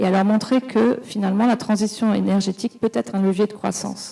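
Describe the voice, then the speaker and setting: Fairly quick pace from a woman at medium pitch, with fairly even intonation. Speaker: business executive in clean mobility. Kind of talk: round table panel talk. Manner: fast; hesitant, repeats words.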